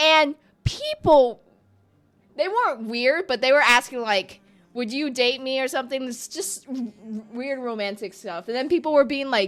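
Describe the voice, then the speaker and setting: A woman speaks at a moderate pace in a high voice, with ordinary pitch variation. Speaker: gaming streamer. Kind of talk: casual live-stream chat. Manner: rambling, halting with fillers.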